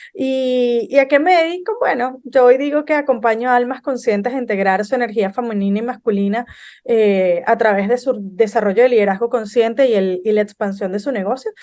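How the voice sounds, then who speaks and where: A woman with a plain, everyday voice talks at a fairly quick pace with hardly any pauses. Her pitch is fairly high, with ordinary pitch variation. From Venezuela. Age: 30s. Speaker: business consultant. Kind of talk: podcast interview.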